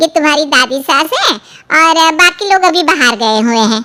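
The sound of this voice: In a cartoonish character voice, a woman speaks at a high pitch and moderate pace, her intonation lively and her loudness very even.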